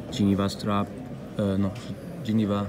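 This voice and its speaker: Monotone, flat intonation comes through with audible room echo and noticeable background noise. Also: man. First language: not English. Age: 30s. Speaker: independent watchmaker. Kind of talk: interview. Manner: halting, many fillers and repeats.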